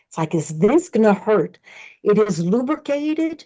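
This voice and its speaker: A woman with a French accent speaks with a dark, mellow tone and lively intonation at a moderate pace over a quiet background. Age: 60s. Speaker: colon hydrotherapist. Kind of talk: interview. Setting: podcast.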